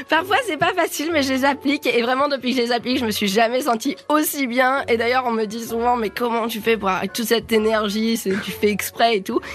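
A woman with a high voice speaks in an animated tone at a fairly quick pace, her pitch varying in an ordinary way, with hardly any pauses and noticeable background noise. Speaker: cooking competition contestant. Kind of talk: interview. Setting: studio.

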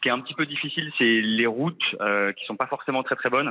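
This man has a plain, everyday voice at a medium pitch. He moves at a fairly quick pace with ordinary pitch variation. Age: 30s. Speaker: expatriate caller, project manager. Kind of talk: phone interview.

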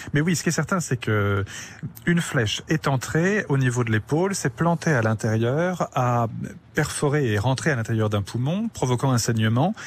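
With lively intonation, a man at medium pitch speaks in a somewhat breathy voice. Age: 40s. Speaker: forensic anthropologist. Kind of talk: radio interview. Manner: halting, frequent repetitions.

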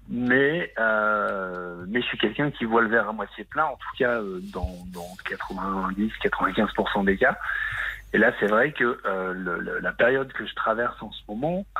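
A man speaking very slowly, with big swings in loudness. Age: 30s. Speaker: caller. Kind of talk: testimony. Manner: halting.

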